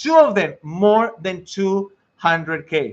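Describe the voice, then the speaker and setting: A man speaks with a strong Mexican accent at a high pitch. His tone is animated. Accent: thick Mexican Spanish. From Mexico. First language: Spanish. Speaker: IT career coach and network engineer. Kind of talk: live stream talk to viewers. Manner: halting.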